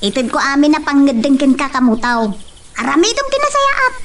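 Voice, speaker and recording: A woman's high-pitched, put-on character voice at a moderate pace, with clear background noise. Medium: stage play.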